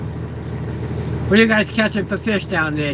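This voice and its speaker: Speaking fairly slowly in a Boston accent, a man uses a high pitch and lively intonation. Both room echo and background noise can be heard. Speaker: livestreamer, truck driver. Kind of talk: casual live stream chat. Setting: in a plow truck.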